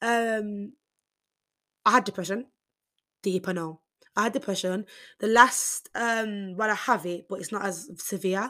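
In a Birmingham accent, a woman speaks with a medium pitch and a bright, sharp tone, her intonation fairly even. Long, frequent pauses fill a very clean recording with a silent background. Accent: Birmingham (Brummie) English. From Birmingham, England. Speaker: podcaster, university student. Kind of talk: casual solo podcast monologue. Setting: university accommodation room. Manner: fast talker; casual, chatty, stumbles over words.

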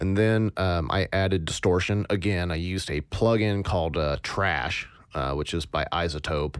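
A man's very deep, low voice at a fairly slow pace, on a very clean recording with a silent background. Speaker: podcast host, sound designer. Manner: monotone.

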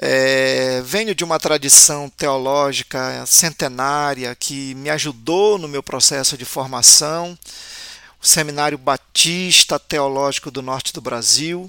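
A man's fairly high, bright, sharp voice at a very slow pace, with ordinary pitch variation and big swings in loudness. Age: 50s. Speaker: pastor. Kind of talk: personal introduction.

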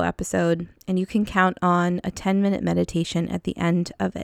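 Here a woman has an ordinary speaking voice at a medium pitch. The recording is very clean, with a silent background. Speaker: podcast host and counselor. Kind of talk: guided meditation; casual chat. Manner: slow, soothing, calm; gentle, descriptive pacing with pauses.

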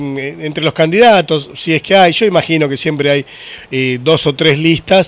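Background noise is noticeable here. Through it, a man talks at a high pitch. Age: 40s. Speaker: podcast host. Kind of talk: casual interview chat.

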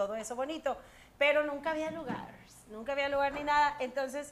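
A woman's animated tone at a moderate pace. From Monterrey, Mexico. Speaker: singer and TV presenter. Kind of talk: casual interview chat.

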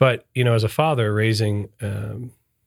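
Recorded very cleanly against a silent background, a man with an American accent uses a plain, everyday voice, speaking at a moderate pace and fairly low pitch with fairly even intonation. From US Midwest, Michigan (northern Detroit suburbs). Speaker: lawyer, managing partner. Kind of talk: casual chat.

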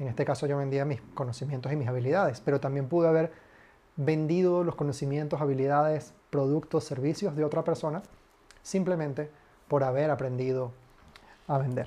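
Speaking at a fairly quick pace, a man with a fairly high pitch and a dark, mellow tone keeps his intonation fairly even. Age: 20s. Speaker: podcast host, marketing consultant. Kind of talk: solo podcast monologue. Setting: home.

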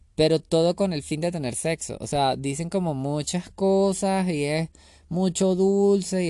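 A man speaks at a high pitch with lively intonation and an animated tone. The background is quiet. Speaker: solo podcaster. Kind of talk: casual monologue.

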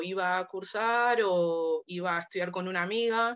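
A woman of medium pitch with a Rioplatense accent. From Argentina, Buenos Aires. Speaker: biochemistry student and language assistant. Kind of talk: casual interview chat.

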